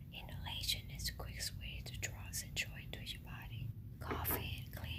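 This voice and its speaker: Noticeable background noise accompanies a whisper delivered at a moderate speed. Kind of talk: ASMR how-to tutorial. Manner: whispered.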